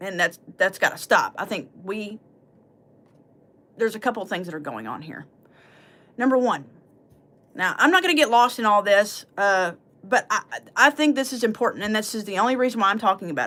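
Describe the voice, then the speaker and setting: Fairly high-pitched woman's voice, bright and sharp, with lively intonation, big swings in loudness and long, frequent pauses. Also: fairly quick pace. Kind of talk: livestream commentary. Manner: halting, tongue-tied.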